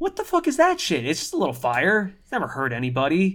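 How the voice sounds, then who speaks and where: The speaker talks very fast. The accent is American. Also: man. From New York. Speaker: food podcast host. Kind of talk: casual chat. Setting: home recording room. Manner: animated.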